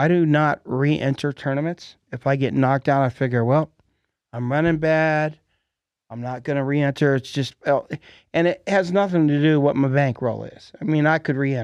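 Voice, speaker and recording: Over a quiet background, a man with an unremarkable speaking voice talks at a moderate pace and fairly high pitch, with fairly even intonation and a dry, close sound that has no echo. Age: 60s. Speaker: podcast host. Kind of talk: casual chat. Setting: studio.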